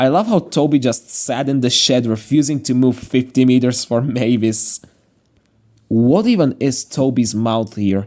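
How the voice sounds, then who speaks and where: With a strong Slovak accent, a man speaks at a fairly slow pace in a dark, mellow tone. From Slovakia. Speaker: YouTuber, train series commentator. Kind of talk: video commentary. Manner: casual, jokey.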